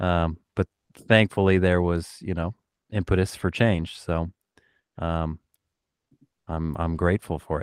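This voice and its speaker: Flat, monotone delivery at a fairly slow pace, with long, frequent pauses and a dry, close sound with no echo. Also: man. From US Pacific Northwest, Oregon. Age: 30s. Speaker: keyboardist and music producer. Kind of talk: casual interview chat.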